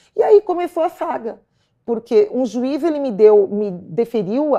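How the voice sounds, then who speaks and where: A woman's voice with a dark, mellow tone. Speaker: stalking victim. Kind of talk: testimony. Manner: halting, repeats words.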